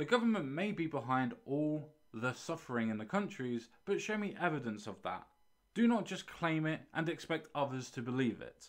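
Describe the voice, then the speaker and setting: The pace is moderate as the man talks. His pitch rises and falls very widely. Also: quiet background. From UK. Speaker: YouTube commentator. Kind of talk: response video, monologue reacting to a comment. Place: home room. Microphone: studio mic.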